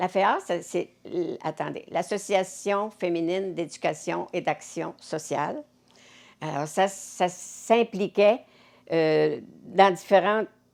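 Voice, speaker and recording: Speaking in a Quebec accent, a woman goes very slowly with long, frequent pauses. Her pitch sits in the medium range with ordinary variation. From Cap-Saint-Ignace, Quebec. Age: 80s+. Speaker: community volunteer. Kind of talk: interview answer.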